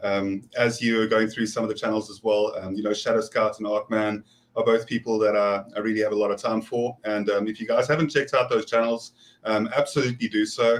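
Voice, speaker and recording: Speaking fairly quickly with a South African accent, a man holds a medium pitch in a flat monotone. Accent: South African, noticeable. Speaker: prepper and scout volunteer. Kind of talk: casual panel chat. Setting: live stream video call.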